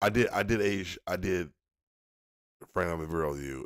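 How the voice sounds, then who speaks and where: There is vocal fry in this man's very deep, low voice. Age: 40s. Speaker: streamer. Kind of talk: casual chat. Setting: live stream. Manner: halting.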